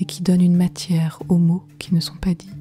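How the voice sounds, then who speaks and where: Music plays in the background. Over it, a woman speaks at a moderate pace in a fairly low pitch. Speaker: poet. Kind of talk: poetry reading. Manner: soft-spoken.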